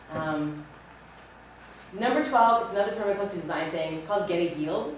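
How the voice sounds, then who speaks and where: A woman's animated, medium-pitched voice at a very fast pace, with ordinary pitch variation, audible room echo and noticeable background noise. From grew up in a city. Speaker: workshop speaker, author. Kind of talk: lecture.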